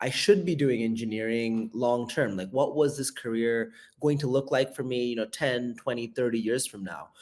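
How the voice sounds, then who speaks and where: Recorded very cleanly over a silent background, a man with an American accent talks at a medium pitch and a moderate pace. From US Bay Area and India. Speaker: venture capital investor. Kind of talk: interview conversation.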